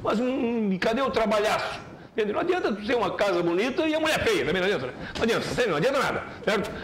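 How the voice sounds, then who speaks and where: A man speaks in an animated tone. Light background noise is present. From Joinville, Santa Catarina, Brazil. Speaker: sports commentator. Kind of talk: opinionated sports commentary. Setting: TV studio. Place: studio.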